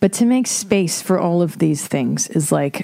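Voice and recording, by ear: A woman speaks at a fairly slow pace, her dark, mellow tone touched with vocal fry.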